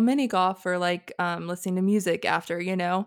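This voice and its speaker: Very clean and set against a silent background, this recording has a woman speaking with an American accent in flat, monotone intonation. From North Carolina. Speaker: podcast host and photographer. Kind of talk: casual chat.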